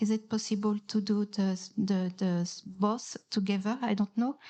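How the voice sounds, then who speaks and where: A woman with a fairly high pitch speaks at a fairly slow pace. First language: not English. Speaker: audience member at a conference panel. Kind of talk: audience question in panel Q&A. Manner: halting, many hesitations and repeats.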